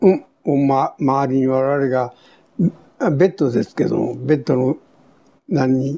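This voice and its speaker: Very slow pace from a man with a fairly high pitch and a dark, mellow tone. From Kure, Hiroshima, Japan. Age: 80s+. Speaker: war veteran. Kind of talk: testimony. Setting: at home.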